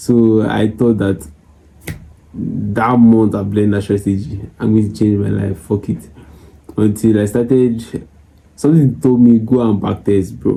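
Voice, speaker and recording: A man talks quietly at a fairly slow pace, with a fairly low pitch, a dark, mellow tone, and ordinary pitch variation. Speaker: forex trader and YouTuber. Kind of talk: casual chat to camera. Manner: low, quiet voice.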